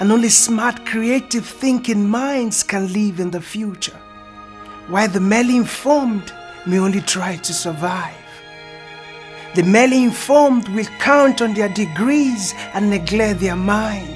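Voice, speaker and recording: Music plays in the background as a man speaks at a fairly slow pace. His voice is high, with ordinary pitch variation. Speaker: spoken word poet. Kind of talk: spoken word poetry performance.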